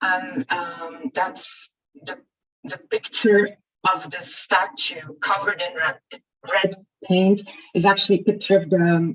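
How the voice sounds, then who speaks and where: A woman with a plain, everyday voice, medium pitch, ordinary pitch variation and a fairly slow pace. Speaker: equality body representative. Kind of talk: conference presentation.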